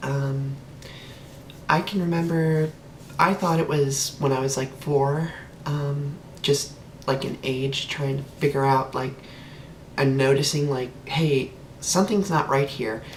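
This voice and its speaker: A woman with a very deep, low pitch, fairly even intonation, a fairly slow pace, and long, frequent pauses, over noticeable background noise. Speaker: transgender woman vlogger. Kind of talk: casual talk to camera. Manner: hesitant, many filler words.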